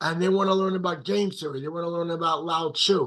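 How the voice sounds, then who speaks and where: Speaking in an animated tone, a man uses a high-pitched voice. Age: 70s. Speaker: motivational speaker and life coach. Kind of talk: interview conversation.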